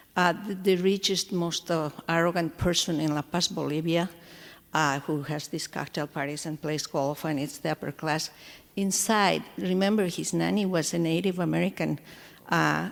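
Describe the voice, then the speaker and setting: A woman's fairly low voice with vocal fry, fairly even intonation and a moderate pace. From Latin America. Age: 60s. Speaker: audience member asking a question. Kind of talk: audience question. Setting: stage with audience.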